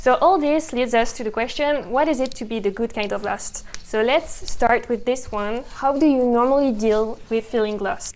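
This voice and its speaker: A woman with a high pitch and a slight French accent, a moderate pace with hardly any pauses, and ordinary pitch variation. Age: young. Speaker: podcast co-host. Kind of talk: casual conversation. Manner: hesitant, many fillers.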